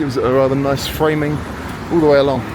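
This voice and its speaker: A man with a British accent, fairly high in pitch, in a monotone, flat intonation at a fairly quick pace, with audible room echo and noticeable background noise. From Britain. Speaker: travel vlogger. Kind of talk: walking tour commentary. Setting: outdoors. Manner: casual, conversational.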